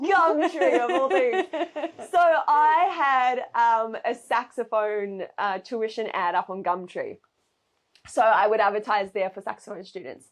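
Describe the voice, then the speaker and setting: A woman with a New Zealand accent, fairly high-pitched and fairly slow, her pitch swinging very widely. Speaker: saxophonist and saxophone teacher. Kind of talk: casual interview chat.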